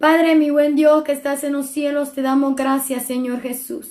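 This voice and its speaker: Audible room echo surrounds a woman with a high pitch who speaks at a fairly slow pace with fairly even intonation. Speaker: preacher. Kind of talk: sermon.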